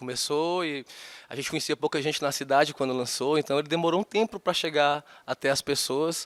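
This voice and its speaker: Heard in a very clean recording with a silent background and a dry, close sound with no echo, a man with a strong Fortaleza accent talks at a fairly high pitch. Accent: thick Fortaleza (Ceará). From Fortaleza, northeastern Brazil. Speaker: singer-songwriter. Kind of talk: interview. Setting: studio.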